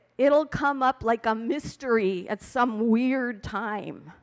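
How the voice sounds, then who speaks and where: A woman's high pitch at a very slow pace. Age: 70s. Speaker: amateur stand-up comedian. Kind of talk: stand-up. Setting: stage with audience.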